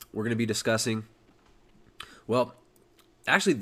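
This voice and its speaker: Recorded very cleanly against a silent background, a man speaks at medium pitch with an American accent. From California. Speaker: podcast host. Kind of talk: casual chat. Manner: hesitant with fillers.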